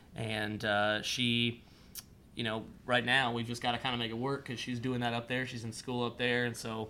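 In a US Midwestern accent, a man speaks at a moderate pace and medium pitch with monotone, flat intonation. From Ohio, Columbus area. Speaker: country singer-songwriter. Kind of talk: casual interview.

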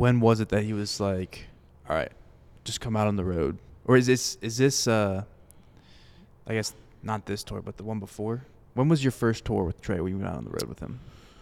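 A man with an American accent, a fairly low pitch and ordinary pitch variation, at a moderate pace with long, frequent pauses. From Florida, Fort Myers. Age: 20s. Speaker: podcast host. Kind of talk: casual interview chat. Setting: live at a country music venue.

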